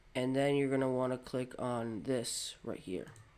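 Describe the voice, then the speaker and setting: Speaking at a fairly slow pace, a man has a medium pitch. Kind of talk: software tutorial narration. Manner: casual, hesitant.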